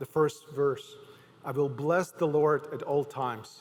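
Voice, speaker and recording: A man with a Ukrainian accent, his pitch fairly high for a man, at a fairly slow pace. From Ukraine. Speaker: pastor. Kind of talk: sermon. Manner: halting.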